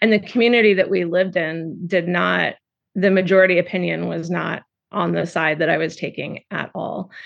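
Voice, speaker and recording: A woman with an American accent talks at a moderate pace, her fairly low pitch marked by vocal fry and fairly even intonation. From California. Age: 40s. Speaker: poet. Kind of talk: interview.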